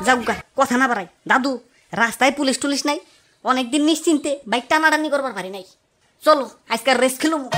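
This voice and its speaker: A cartoonish character voice delivers the lines at a fairly quick pace. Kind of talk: comic cartoon voice acting. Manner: rambling, interjects 'iya' and 'ore bapu re'.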